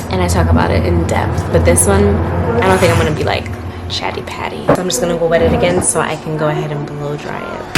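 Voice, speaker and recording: Over noticeable background noise and audible room echo, a woman with a very deep, low pitch races along at a very fast pace with very wide pitch swings. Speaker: lifestyle vlogger. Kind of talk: casual vlog talk to camera. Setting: at home, bathroom.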